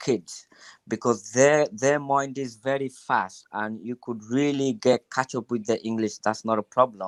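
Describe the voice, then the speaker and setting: A man with a Bangladeshi accent, fairly even intonation, and a moderate pace, in dry, close sound with no echo. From Bangladesh, Sylhet. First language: Sylheti Bengali. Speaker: guest giving advice. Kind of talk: live stream advice. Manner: halting, many fillers.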